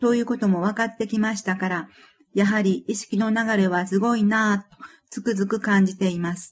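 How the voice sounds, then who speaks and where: A woman's medium-pitched, somewhat breathy voice at a moderate pace, flat and monotone, on a very clean recording with a silent background. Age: 50s. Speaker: author reading own book. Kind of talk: reading aloud.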